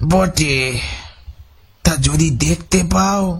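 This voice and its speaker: Putting on a raspy character voice, a man talks at a fairly high pitch with lively intonation. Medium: read story. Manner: guarded.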